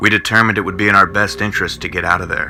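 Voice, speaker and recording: A man with a fairly low-pitched voice talks over noticeable background noise. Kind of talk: old time radio style horror narration. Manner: dramatic, suspenseful.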